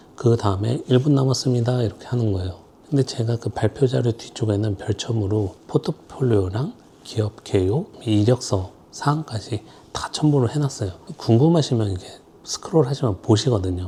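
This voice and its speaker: With a dark, mellow tone that is somewhat breathy, a man of medium pitch speaks at a moderate pace with ordinary pitch variation. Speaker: designer. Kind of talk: casual vlog tips. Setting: filming alone. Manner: speeds up when nervous.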